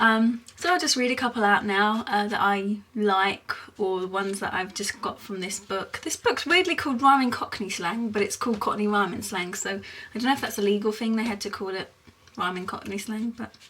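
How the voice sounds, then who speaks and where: A woman with a British accent talks at a moderate pace in a fairly high voice with ordinary pitch variation, and noticeable background noise is present. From England, Essex. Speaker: vlogger. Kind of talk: casual explainer vlog. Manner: hesitant, many fillers.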